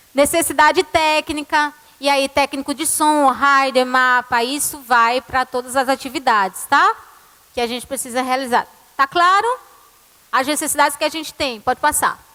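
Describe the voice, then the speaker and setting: A woman's raised, projected voice at a high pitch, dry and close with no echo, over noticeable background noise. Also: ordinary pitch variation, moderate pace. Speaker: church music ministry leader. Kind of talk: conference talk.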